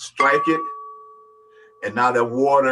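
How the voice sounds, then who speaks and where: Music plays in the background as a man speaks. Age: 70s. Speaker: sound healing practitioner. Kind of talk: panel discussion.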